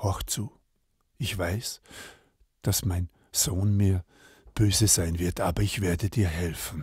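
With a calm, gentle tone and a very deep, low pitch, a somewhat breathy man speaks at a very slow pace with long, frequent pauses, in a very clean recording with a silent background and a dry, close sound with no echo. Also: ordinary pitch variation. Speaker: storyteller. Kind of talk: bedtime-style fairy tale storytelling, read aloud. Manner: calm, slow, gentle storyteller pacing with character voices.

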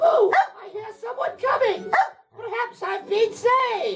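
A put-on character voice at an extremely high pitch, delivered at a moderate pace with faint music in the background.

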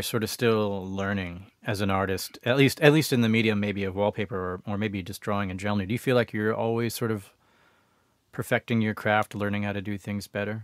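A man speaks in a plain, everyday voice at a fairly low pitch. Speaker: podcast host. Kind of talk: casual interview. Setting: video call.

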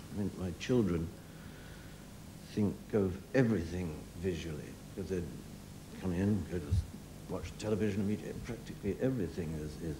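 A man speaks at a very deep, low pitch with ordinary pitch variation and a moderate pace. There is noticeable background noise. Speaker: guest. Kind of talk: interview answer. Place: stage.

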